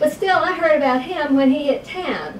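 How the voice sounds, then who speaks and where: A woman speaks at a moderate pace with lively intonation. Noticeable background noise can be heard. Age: 60s. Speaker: patient testimonial, veteran. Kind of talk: testimony. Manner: hesitant, many fillers.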